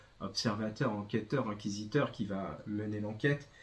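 Speech unfolds at a very slow pace. There is a somewhat breathy quality to it. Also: man. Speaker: bookseller presenting a comic. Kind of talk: book review talk. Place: shop.

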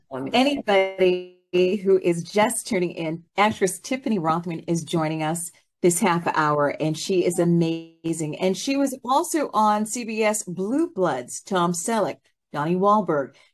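A woman talks at a fairly slow pace. Behind her there is music. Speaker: talk show host. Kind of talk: interview show hosting. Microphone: video call.

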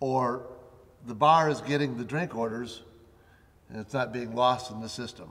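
Pitch varies in an ordinary way while the speech keeps a moderate pace. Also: man. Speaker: facilities management expert co-host. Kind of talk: instructional tutorial. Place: studio.

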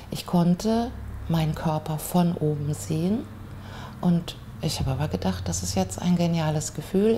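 Over light background noise, a woman speaks at a fairly slow pace with a very deep, low pitch. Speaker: interviewee. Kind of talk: interview answer. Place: home room.

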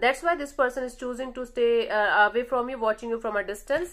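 Against a quiet background, a woman speaks at a high pitch. Her pace is fairly quick, with ordinary pitch variation. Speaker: tarot reader. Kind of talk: tarot reading monologue. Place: home room. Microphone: phone near.

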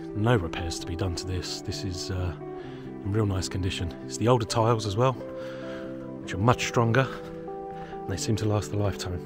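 Over clear background music, a man talks at a fairly quick pace, the sound dry and echo-free. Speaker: property seller giving a tour. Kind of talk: walking property tour commentary. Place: street. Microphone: phone near.

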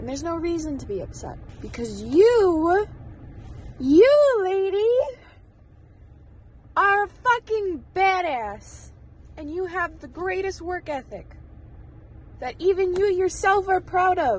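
A woman speaks very slowly at an extremely high pitch, leaving long, frequent pauses. Her intonation is lively, her loudness swings widely, and the sound is dry with no echo. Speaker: vlogger. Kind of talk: casual vlog chat. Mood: self-encouraging, emotional pep talk. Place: car. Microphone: phone near.

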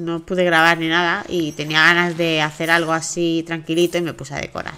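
A woman speaks at a fairly quick pace with a low pitch, a bright, sharp tone and little pitch movement.

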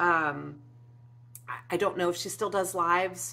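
A woman with a fairly low pitch and a bright, sharp tone. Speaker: craft YouTuber. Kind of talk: casual vlog update. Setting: home. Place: home room.

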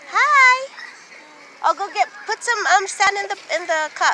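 Over crowd noise in the background, a woman speaks at a very slow pace in a raised, projected voice, the sound dry with no echo. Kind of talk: casual vlog chat. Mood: cheerful. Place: beach. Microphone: phone near.

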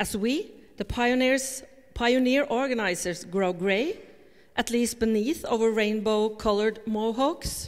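Over a quiet background, this speaker keeps a very even loudness and ordinary pitch variation at a fairly slow pace. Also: woman. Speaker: conference speaker. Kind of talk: read talk to an audience. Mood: reflective, gently humorous. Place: hall.

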